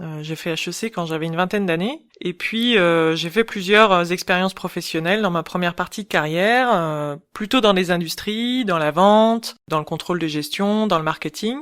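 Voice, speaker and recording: Speaking at a moderate pace with hardly any pauses, a woman uses an ordinary speaking voice at medium pitch with ordinary pitch variation, on a very clean recording with a silent background. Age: 40s. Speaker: ergonomist and UX expert. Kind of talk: interview.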